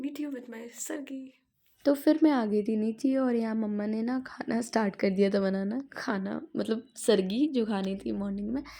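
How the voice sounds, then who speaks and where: Hardly pausing, a woman with a fairly high pitch speaks in a somewhat breathy, dark, mellow tone with ordinary pitch variation. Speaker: vlogger. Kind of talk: casual vlog narration.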